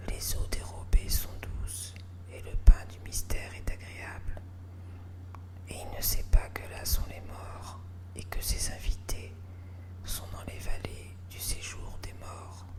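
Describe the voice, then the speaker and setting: A soft-spoken woman whispers at a very slow pace, with long, frequent pauses and big swings in loudness. Noticeable background noise is present. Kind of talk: whispered Bible reading. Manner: whispered, soft.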